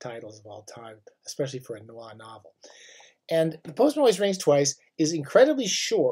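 In a dark, mellow tone, a man speaks fairly quickly with very wide pitch swings and big shifts in loudness over a quiet background. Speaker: book video host. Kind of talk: casual book talk monologue. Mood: enthusiastic, opinionated. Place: home room. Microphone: webcam.

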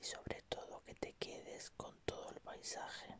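A man is whispering. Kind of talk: ASMR relaxation roleplay for sleep. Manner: calm, gentle, soothing.

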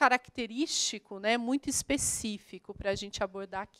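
Over a quiet background, a woman talks at a moderate pace. Her pitch is fairly high, with ordinary variation. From Brazil, Minas Gerais (Poços de Caldas); Minas Gerais, Brazil. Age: 30s. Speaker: geography teacher. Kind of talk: online lesson for school pupils. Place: studio. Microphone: handheld.

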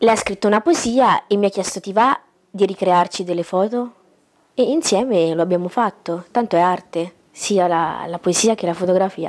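A woman is talking at a moderate pace. Her pitch varies in an ordinary way. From Italy, Umbria (Gualdo Tadino); Umbria, Italy. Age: 20s. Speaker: photographer; interview guest. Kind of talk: talk show interview. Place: home room.

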